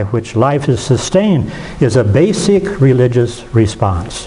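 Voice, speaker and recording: A man at a medium pitch and fairly slow pace, with very wide pitch swings, audible room echo and noticeable background noise. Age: 70s. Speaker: retired pastor. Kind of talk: lecture.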